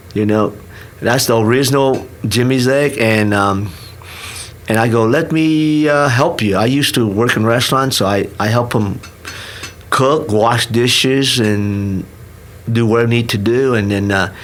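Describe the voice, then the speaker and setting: Over noticeable background noise and audible room echo, a man with a Vietnamese accent talks at a fairly slow pace with long, frequent pauses, ordinary pitch variation and very even loudness. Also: medium pitch for a man. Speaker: restaurant owner. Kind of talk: podcast interview. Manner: halting, many restarts.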